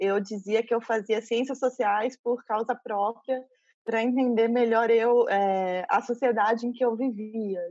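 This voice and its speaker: At a fairly slow pace, a woman speaks with a fairly high pitch and fairly even intonation, her loudness very even. She has an ordinary speaking voice. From interior of São Paulo state, Brazil (São José dos Campos). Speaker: curator and university professor. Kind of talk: interview.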